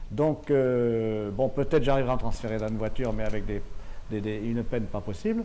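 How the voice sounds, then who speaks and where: Over audible room echo, a man speaks at a fairly quick pace with fairly even intonation and a dark, mellow tone. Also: medium pitch for a man. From southwestern France (Béarn). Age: 60s. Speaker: paraplegic driver giving a testimony. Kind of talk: testimony. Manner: halting, many hesitations and repetitions.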